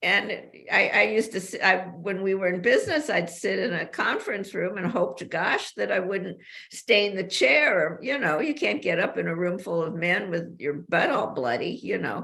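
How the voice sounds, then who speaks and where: Over noticeable background noise, the speaker moves at a moderate pace with very wide swings in pitch. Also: woman, medium pitch for a woman. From US West Coast, Los Angeles. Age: 80s+. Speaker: author. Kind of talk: interview. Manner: animated.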